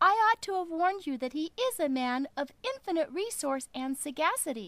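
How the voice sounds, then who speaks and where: Putting on a character voice, a woman talks at a moderate pace in an extremely high pitch. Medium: read story.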